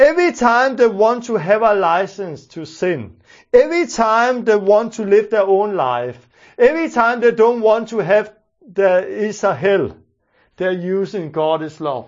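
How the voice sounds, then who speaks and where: A Danish accent at a fairly slow pace. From Denmark. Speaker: preacher. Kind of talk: sermon.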